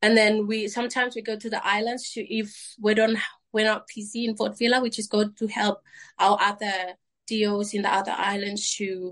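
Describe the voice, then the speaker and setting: A woman with a Vanuatu accent speaks at a moderate pace and a fairly high pitch. Her intonation is monotone and flat. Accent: Vanuatu (Melanesian) English. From Vanuatu, Tanna island. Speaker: cricket captain. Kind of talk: interview.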